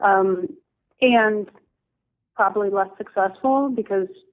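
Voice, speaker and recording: A woman's voice with fairly even intonation. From US East Coast, New Jersey. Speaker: designer and ceramics company owner. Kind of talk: interview.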